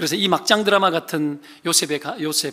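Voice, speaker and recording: This man's voice sits high in pitch. Its tone is bright and sharp. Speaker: pastor. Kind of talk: sermon. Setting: church. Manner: fast.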